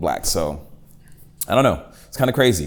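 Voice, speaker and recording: There is audible room echo as a man speaks at a moderate pace. His voice has vocal fry. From Boston, Massachusetts (Dorchester, then Randolph suburbs). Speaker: hip hop artist. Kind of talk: casual interview. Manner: casual, halting with many fillers.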